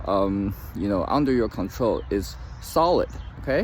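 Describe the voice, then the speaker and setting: This is a man talking. His delivery is fairly slow. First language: not English. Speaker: trading commentator. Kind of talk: casual talk-to-camera advice. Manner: halting, many fillers; reads from notes at times.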